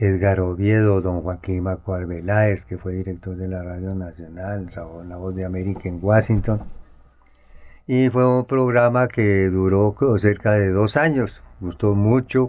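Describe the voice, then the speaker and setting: At a fairly slow pace, the speech shows ordinary pitch variation and big swings in loudness. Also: man, fairly low pitch for a man. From Colombia, Tunja (Boyacá). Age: 60s. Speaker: journalist and photographer. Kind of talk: interview, autobiographical recollection. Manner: halting, with frequent fillers.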